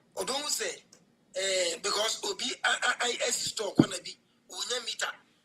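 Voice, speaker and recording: A woman speaks at a moderate pace with big swings in loudness, over noticeable background noise. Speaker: caller. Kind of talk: call-in opinion.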